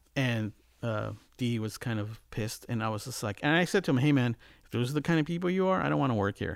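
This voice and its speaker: A man with a Californian accent talks very fast, his pitch swinging very widely, on a very clean recording with a silent background. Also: medium pitch for a man. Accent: Californian American. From Los Angeles, California. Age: 50s. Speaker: music producer and mixing engineer. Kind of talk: casual interview.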